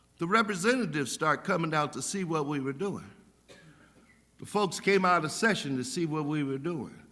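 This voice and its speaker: Bright, sharp tone from a man with a fairly high pitch and lively intonation, in audible room echo. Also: moderate pace. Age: 70s. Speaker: pastor. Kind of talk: sermon. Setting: church. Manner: animated.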